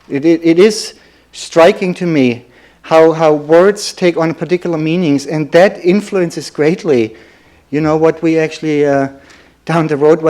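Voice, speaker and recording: A man speaks with a German accent at a moderate pace. His pitch sits fairly high for a man, with fairly even intonation. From Germany. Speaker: lecturer.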